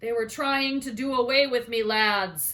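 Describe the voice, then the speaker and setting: A female-sounding voice in a put-on character voice, high in pitch for a woman. It comes out gruff and growling. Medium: read story. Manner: gruff, growling.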